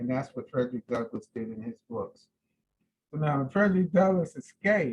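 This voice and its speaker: A somewhat breathy man with an American accent, talking at a fairly quick pace. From California (Seaside). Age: 60s. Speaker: descendant speaking on family history, army veteran. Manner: halting.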